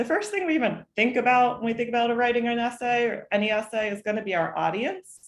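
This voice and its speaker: A woman is speaking. Her pace is fairly quick. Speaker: college admissions advisor. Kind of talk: online workshop presentation. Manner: fast.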